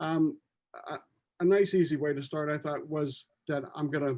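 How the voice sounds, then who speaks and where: An unremarkable speaking voice with an American accent, ordinary pitch variation and a fairly quick pace. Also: man. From USA. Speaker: music library owner and composer, panel moderator. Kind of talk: panel discussion introduction.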